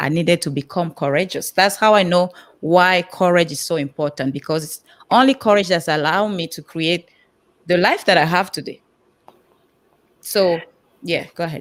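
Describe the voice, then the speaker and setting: A woman's fairly low voice at a moderate pace, with ordinary pitch variation, big swings in loudness and long, frequent pauses, in a very clean recording with a silent background. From Cameroon. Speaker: personal empowerment coach. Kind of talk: panel interview on live stream.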